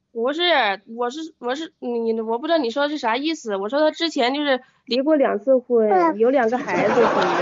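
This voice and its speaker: A woman's high voice with ordinary pitch variation at a moderate pace. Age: 20s. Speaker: caller seeking relationship advice. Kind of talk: phone-in advice call. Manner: halting.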